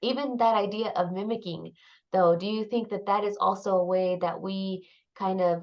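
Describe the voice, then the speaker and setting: A woman talks at a moderate pace in a medium pitch. Her intonation stays fairly even. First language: Spanish. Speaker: graduate student. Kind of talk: casual discussion podcast. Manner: hesitant with fillers.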